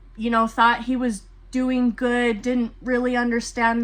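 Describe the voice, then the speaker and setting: A fairly high-pitched woman at a moderate pace over noticeable background noise. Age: 20s. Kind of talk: personal talk to camera.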